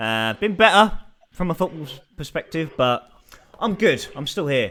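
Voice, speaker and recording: At a moderate pace, the speaker uses very wide pitch swings in a Welsh accent. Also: man. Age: 30s. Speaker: podcast host. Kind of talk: casual chat.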